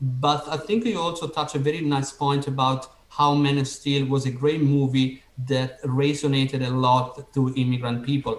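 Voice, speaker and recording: Over noticeable background noise, a man speaks with an Italian accent. His pitch is fairly high and his intonation fairly even. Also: moderate pace. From Italy. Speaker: podcast host. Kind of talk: interview.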